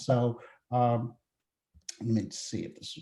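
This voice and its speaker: A man speaks at a medium pitch. His tone is dark, mellow and somewhat breathy. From South Africa. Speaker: healthcare data consultant. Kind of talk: webinar presentation. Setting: webinar call.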